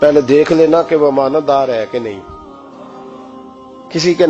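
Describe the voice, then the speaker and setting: A man's fairly high voice with ordinary pitch variation over music in the background. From Pakistan. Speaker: Islamic scholar and preacher. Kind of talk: religious sermon.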